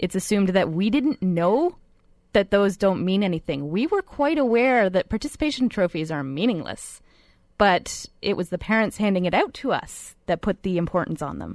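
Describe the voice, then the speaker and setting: An unremarkable speaking voice with lively intonation moves at a moderate pace in a very clean, dry, close recording with a silent background and no echo. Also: woman, medium pitch for a woman. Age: 20s. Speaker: millennial radio guest. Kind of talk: radio panel discussion.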